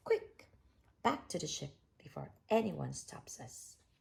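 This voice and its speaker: The delivery is fairly slow, in a put-on character voice. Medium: read story. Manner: bossy, blustering.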